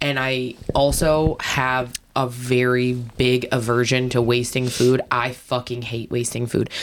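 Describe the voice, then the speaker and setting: A woman speaks with a very deep, low pitch and a monotone, flat intonation. Her pace is fairly slow, and there is noticeable background noise. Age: 30s. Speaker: podcast co-host. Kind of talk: casual chat.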